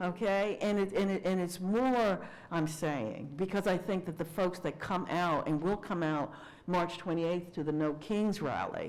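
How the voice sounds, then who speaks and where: The recording has audible room echo. A woman speaks with very even loudness. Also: medium pitch for a woman, ordinary pitch variation, fairly slow pace. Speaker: minister and speaker. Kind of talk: lecture with Q&A.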